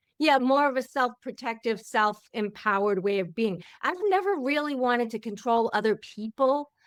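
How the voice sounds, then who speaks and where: The speech has lively intonation and hardly any pauses. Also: woman, high pitch for a woman, moderate pace. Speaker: podcast host. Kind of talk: casual interview chat.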